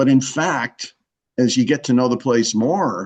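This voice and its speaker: Against a quiet background, a man with an unremarkable speaking voice talks at a moderate pace and a medium pitch, with ordinary pitch variation. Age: 60s. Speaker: author and scientist. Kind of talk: interview with audience Q&A. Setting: live event with audience.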